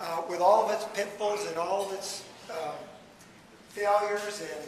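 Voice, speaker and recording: There is noticeable background noise and audible room echo. A man with a high voice speaks fairly slowly with fairly even intonation. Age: 70s. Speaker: salesman and guest speaker. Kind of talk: speech to a fellowship meeting. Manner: moves around while speaking. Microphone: speaking without a microphone.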